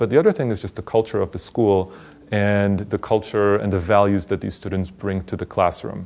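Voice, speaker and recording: The recording is very clean, with a silent background. A man speaks at a moderate pace with fairly even intonation. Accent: Polish. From Poland. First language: Polish. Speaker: teacher. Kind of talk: interview.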